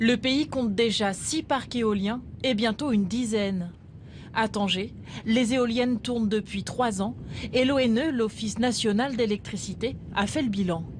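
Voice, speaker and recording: Here is a woman with an ordinary speaking voice, pitched fairly high with ordinary pitch variation. She talks at a fairly slow pace, and her loudness stays very even. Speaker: news presenter and reporter voice-over. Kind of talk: documentary news report narration. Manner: formal, measured, steady reporting tone.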